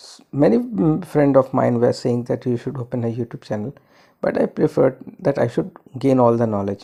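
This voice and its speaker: A man talks at a fairly quick pace in a dark, mellow tone, with big swings in loudness. His pitch is medium, with ordinary variation. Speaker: astrologer. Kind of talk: monologue. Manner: halting.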